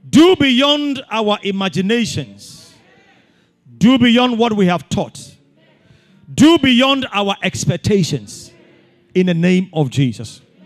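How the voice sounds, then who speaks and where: With music in the background, a man speaks at a very slow pace, his pitch swinging very widely. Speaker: pastor. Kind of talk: fervent prayer and blessing. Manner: fervent, declarative; rhythmic, repetitive cadence.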